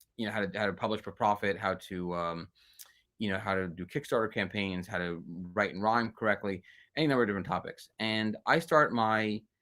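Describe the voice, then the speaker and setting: A man at a fairly quick pace with ordinary pitch variation, on a very clean recording with a silent background. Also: fairly low pitch for a man. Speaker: children's book author. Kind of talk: interview. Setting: live video stream. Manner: fast; halting, many fillers.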